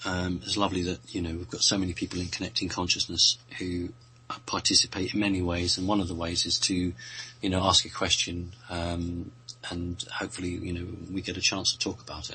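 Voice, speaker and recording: This man talks at a fairly quick pace with a British accent. His very deep, low voice keeps a fairly even intonation. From Britain. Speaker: radio show guest answering questions. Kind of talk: casual chat. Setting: radio show.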